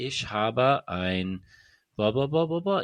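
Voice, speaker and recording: Putting on a character voice in an American accent, a man mumbles at a fairly slow pace and medium pitch with very wide pitch swings against a quiet background. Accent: American speaking German. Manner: timid, half-hearted, mumbling.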